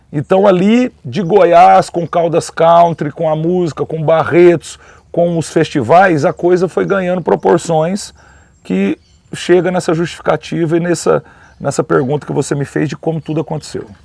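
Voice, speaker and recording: The sound is dry and close, with no echo. A man with a high pitch speaks at a moderate pace with ordinary pitch variation. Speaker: rodeo announcer. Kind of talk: interview answer. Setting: outdoors at rodeo park, background noise.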